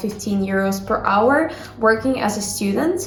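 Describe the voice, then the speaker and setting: Over noticeable background noise, a woman talks at a fairly slow pace with a medium pitch. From Ukraine. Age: young. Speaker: university student. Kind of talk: casual talk to camera.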